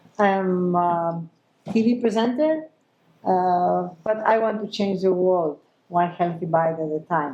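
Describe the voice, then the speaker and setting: A woman with a Greek accent, fairly low pitch, dark, mellow tone, very slow pace and ordinary pitch variation. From Greece. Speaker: chef and TV presenter. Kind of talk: panel discussion. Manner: animated.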